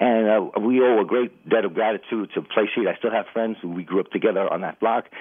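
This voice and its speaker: At a fairly quick pace and with hardly any pauses, a man with a New York accent speaks at a medium pitch using fairly even intonation. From New York City (Bronx). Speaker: radio caller. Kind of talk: call-in testimony. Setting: phone call.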